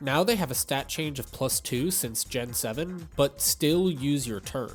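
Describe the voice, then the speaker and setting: Music plays in the background as a man talks. His pace is fairly slow and his intonation lively. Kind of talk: gaming commentary narration.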